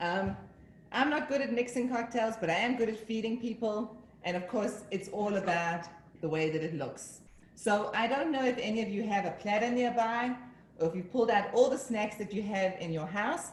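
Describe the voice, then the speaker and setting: A fairly high-pitched woman with an American accent at a moderate pace, amid audible room echo and noticeable background noise. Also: ordinary pitch variation. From Northern New Jersey. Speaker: home cook. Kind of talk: tutorial.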